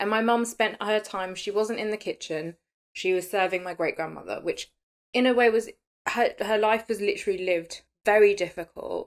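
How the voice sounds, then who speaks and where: Speaking with a British accent, a woman uses a fairly high pitch and an animated tone at a moderate pace. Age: 30s. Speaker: podcast host. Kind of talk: casual chat.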